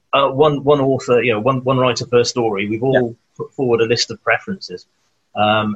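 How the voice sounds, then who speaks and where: A man with a South Wales accent, medium in pitch, at a moderate pace with fairly even intonation, in a dry, close sound with no echo. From Wales, Newport. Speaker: children's author. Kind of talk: casual chat.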